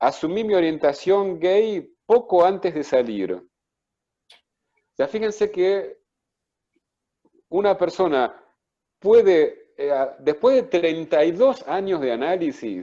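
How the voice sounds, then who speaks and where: A man speaks at a very slow pace with long, frequent pauses. His voice is high in pitch and dark and mellow in tone, with lively intonation. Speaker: psychoanalyst and author. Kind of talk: book presentation talk.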